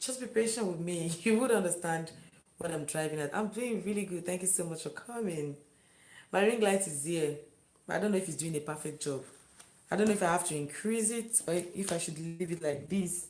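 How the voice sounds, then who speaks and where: In a room with audible echo, a woman with a fairly low voice speaks at a fairly quick pace with ordinary pitch variation. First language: not English. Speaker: live-stream vlogger. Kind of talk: live stream chat with viewers.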